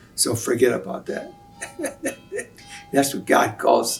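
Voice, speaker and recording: A man talks at a fairly slow pace. Music sounds in the background. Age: 80s+. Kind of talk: interview answer.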